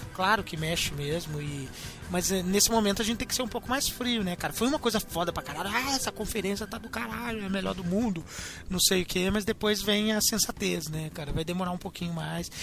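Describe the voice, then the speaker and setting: A man speaks at a fairly quick pace in a high pitch, with ordinary pitch variation. Noticeable background noise runs underneath. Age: 20s. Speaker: podcast host. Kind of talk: casual chat.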